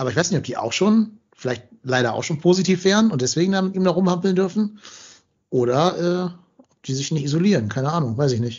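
A man talks at a fairly quick pace in a high pitch with lively intonation. His loudness swings widely. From Hamburg, northern Germany. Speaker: football podcast host. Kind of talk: casual chat.

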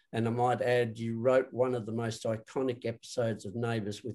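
At a moderate pace and medium pitch, a man speaks with little pitch movement and a slightly mellow tone.

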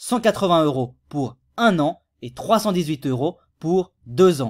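A man's high-pitched voice with very wide pitch swings, on a very clean recording with a silent background. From Switzerland. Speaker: YouTube tutorial creator. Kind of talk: tutorial. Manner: casual.

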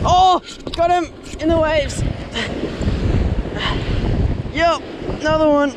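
Over faint background noise, a man speaks at a fairly slow pace in an extremely high pitch with fairly even intonation.

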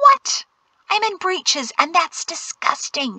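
Putting on a character voice, a woman speaks slowly at an extremely high pitch with a bright, sharp tone and big pitch swings, in a dry, close sound with no echo.

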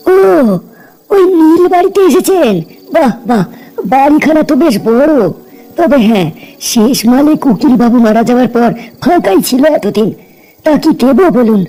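A man performs a cartoonish character voice at an extremely high pitch with lively intonation. His pace is moderate and his loudness very even. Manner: talkative, colloquial.

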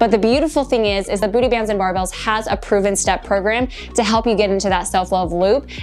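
A woman at a very fast pace, faint music in the background. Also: ordinary pitch variation. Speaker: fitness coach. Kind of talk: tutorial. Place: home room.

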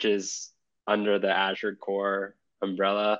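A man's fairly low voice at a very slow pace, in a quiet background. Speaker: interview guest. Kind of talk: interview answer. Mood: relaxed, friendly. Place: home room. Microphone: video call.

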